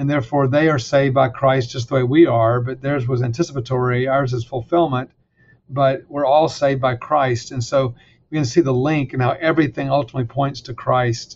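Somewhat breathy, a man at a medium pitch talks at a moderate pace with fairly even intonation. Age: 60s. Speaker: seminary president and author. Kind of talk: interview about faith and his book.

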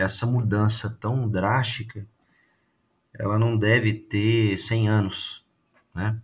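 Very slow and somewhat breathy, a man speaks in a fairly low, monotone and flat voice, with long, frequent pauses. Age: 30s. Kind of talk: casual chat.

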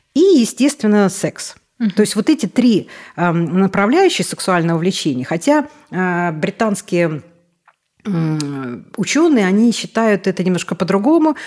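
At a fairly slow pace, a woman speaks at medium pitch with very wide pitch swings and very even loudness. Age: 50s. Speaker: obstetrician-gynecologist. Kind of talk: interview. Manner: animated.

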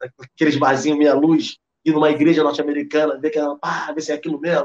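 A man's voice sits fairly high in pitch as he talks at a fairly quick pace. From Rio de Janeiro, Brazil. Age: 30s. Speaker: history teacher and cultural producer. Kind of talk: casual interview conversation.

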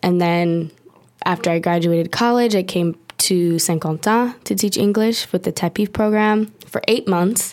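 Speaking with an American accent at a moderate pace, a woman keeps her loudness very even, with a medium pitch and ordinary pitch variation. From Long Beach, California. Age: 20s. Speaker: graduate student. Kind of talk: casual chat.

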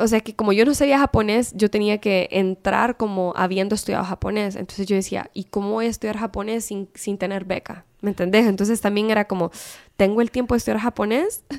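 A woman talks at a fairly quick pace in a plain, everyday voice of medium pitch, with fairly even intonation and hardly any pauses. The recording is very clean with a silent background and a dry, close sound with no echo. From Honduras. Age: 30s. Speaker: civil engineer. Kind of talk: casual interview chat.

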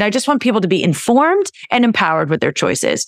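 A woman with a West Coast US accent is heard dry and close with no echo, on a very clean recording against a silent background. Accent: General American (West Coast). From California. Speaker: naturopathic doctor. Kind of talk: casual interview.

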